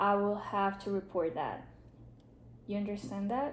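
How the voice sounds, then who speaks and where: A woman speaks at a medium pitch with a Spanish accent, and room echo is audible. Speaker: social work student. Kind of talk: role-play counseling session.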